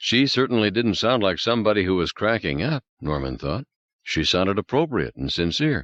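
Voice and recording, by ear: With the background quiet, a natural voice reads aloud.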